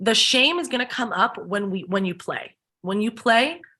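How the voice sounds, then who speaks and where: In a quiet setting, a woman talks at a fairly slow pace with a fairly high pitch. Her tone is bright, sharp and animated. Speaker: spiritual healing workshop host. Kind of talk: casual chat.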